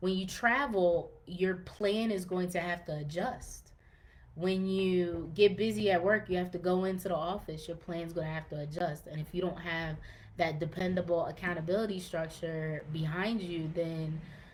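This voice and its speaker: A woman speaks in a plain, everyday voice. Her pitch is fairly low and her intonation fairly even. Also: moderate pace. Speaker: fitness podcast host. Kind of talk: podcast monologue, live-streamed to group. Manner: casual, many fillers.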